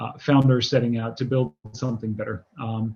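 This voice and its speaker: This man talks in a medium pitch with an American accent, somewhat breathy and in a monotone, flat intonation. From Netherlands/Germany, lived in many countries. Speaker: marketing executive. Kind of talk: interview. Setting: video call. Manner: many filler words and repetitions.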